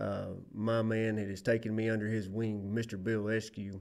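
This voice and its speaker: A man is speaking. He has a Southern US accent. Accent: Southern US accent, noted by himself. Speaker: safety instructor, former lineman. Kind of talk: training presentation. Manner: casual, folksy.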